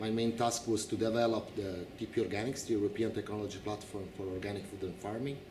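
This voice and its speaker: At a fairly quick pace, a speaker with an Italian accent talks amid audible room echo. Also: man. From Italy. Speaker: incoming director of an organic farming association. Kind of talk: interview.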